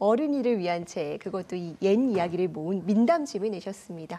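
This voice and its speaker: A woman's intonation stays lively while noticeable background noise carries on behind her. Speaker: news anchor. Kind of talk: news interview questions.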